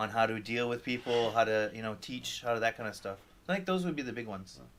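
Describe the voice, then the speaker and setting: This man talks very fast with a slight French Canadian accent. His pitch sits in the middle range, with ordinary variation. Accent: barely noticeable French Canadian. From Quebec or French Canada. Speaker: chef. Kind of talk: interview. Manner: halting.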